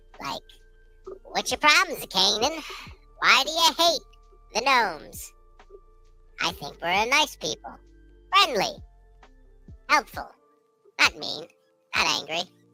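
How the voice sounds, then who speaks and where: In a put-on character voice pitched fairly high, the speaker swings pitch very widely and leaves long, frequent pauses, with faint music in the background. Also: moderate pace. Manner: friendly, helpful, pleading.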